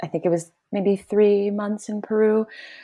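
A woman with a Midwestern American accent, a dark, mellow tone and a quiet background. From US Midwest, Detroit suburbs. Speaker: podcast guest. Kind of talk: casual chat.

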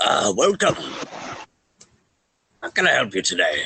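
Put-on character voice from a man, at a moderate pace. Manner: welcoming, friendly.

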